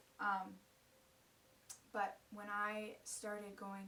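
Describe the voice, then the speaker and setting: A woman with an American accent speaks with audible room echo. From US, Ukrainian immigrant family. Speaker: college student sharing faith story. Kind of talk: personal testimony. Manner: casual, with many fillers.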